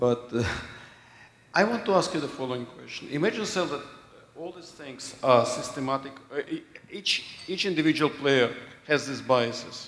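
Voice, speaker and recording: A man talks at a moderate speed. His pitch varies in an ordinary way, and background noise is noticeable. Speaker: audience member asking question. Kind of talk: audience question.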